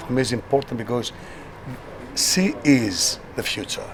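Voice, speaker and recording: A man with a Greek accent at a fairly slow pace, against noticeable background noise. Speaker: satirical TV host. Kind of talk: interview.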